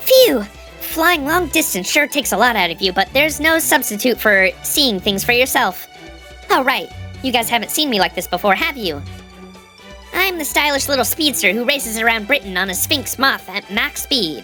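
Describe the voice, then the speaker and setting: A squeaky, put-on character voice sits at a fairly high pitch and moves at a moderate pace. Clear music plays in the background. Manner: playful, boastful.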